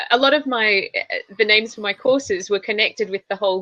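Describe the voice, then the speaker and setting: A woman speaks at a moderate pace and medium pitch with ordinary pitch variation, the sound dry and close with no echo. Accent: Australian. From Australia. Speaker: public speaking trainer. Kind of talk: interview.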